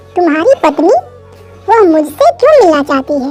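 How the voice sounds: Over faint background music, a woman does a squeaky, cartoonish character voice at an extremely high pitch and a moderate pace.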